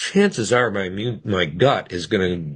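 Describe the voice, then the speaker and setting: Very deep and low-pitched, this man's voice carries vocal fry and very wide pitch swings. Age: 60s. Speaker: physician. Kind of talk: interview. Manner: conversational, with frequent restarts.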